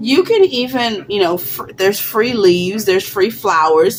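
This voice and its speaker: A woman at a moderate pace with ordinary pitch variation, music playing in the background. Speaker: crafting YouTuber. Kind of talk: tutorial. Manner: halting, many fillers; casual, conversational.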